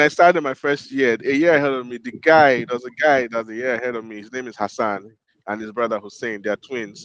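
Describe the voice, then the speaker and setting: A man speaks with a Nigerian accent. His loudness swings widely. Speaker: podcast co-host. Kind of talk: casual chat.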